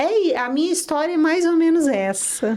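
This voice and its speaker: In a São Paulo interior accent, a woman talks with lively intonation. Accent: caipira São Paulo interior. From Brazil, interior of São Paulo state (São José do Rio Preto). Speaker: dentist. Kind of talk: interview podcast.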